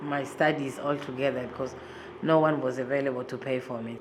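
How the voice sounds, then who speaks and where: Amid noticeable background noise and audible room echo, a woman speaks at a very deep, low pitch. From Congo. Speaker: human rights activist. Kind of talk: interview testimony.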